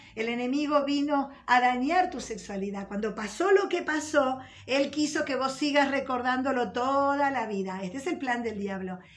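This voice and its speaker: A woman with a high pitch and a warm tone talks with hardly any pauses, her voice carrying audible room echo. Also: lively intonation, moderate pace. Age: 50s. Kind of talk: religious teaching. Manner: warm, conversational.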